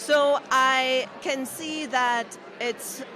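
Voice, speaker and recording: A woman's high-pitched, raised, projected voice over music in the background. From Germany. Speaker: podcaster. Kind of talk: interview.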